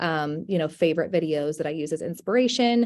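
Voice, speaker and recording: A soft-spoken woman talks at a moderate pace with a fairly low pitch. The recording is very clean, with a silent background. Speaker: real estate agent. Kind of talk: panel discussion.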